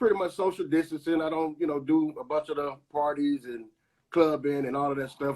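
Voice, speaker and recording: A man speaks with an American accent. His fairly high pitch follows a fairly even intonation. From US South, Tupelo, Mississippi. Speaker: recording artist and actor. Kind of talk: casual interview. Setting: Instagram live video call. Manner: halting with many fillers.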